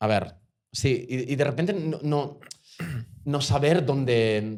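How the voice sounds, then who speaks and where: This man's voice sits at a medium pitch with ordinary variation. He speaks at a very slow pace. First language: Portuguese (speaking Spanish). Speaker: actor. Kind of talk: casual interview chat. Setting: bar. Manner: halting, repetitive.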